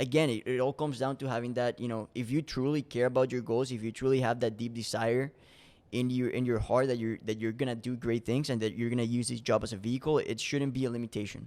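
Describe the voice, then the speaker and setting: A man with a Spanish accent at a medium pitch, very fast pace and monotone, flat intonation, on a very clean recording with a silent background. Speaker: door-to-door salesman. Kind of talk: podcast interview. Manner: casual, many repetitions and restarts.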